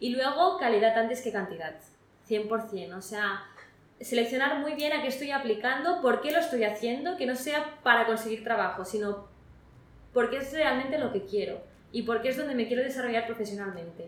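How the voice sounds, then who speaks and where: A woman speaks at a moderate pace with a high pitch and lively intonation. Noticeable background noise and audible room echo come through. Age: 20s. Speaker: recent graduate. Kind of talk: interview. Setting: in person interview.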